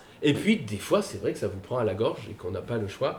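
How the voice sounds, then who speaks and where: A man speaks at a moderate pace with very wide pitch swings. Noticeable background noise is present. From Paris, France. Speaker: author and guitarist. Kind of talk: casual panel talk at a book event.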